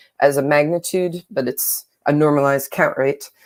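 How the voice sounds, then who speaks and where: A woman is speaking. She has an American accent. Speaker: astrophysicist. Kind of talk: lecture. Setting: online live seminar.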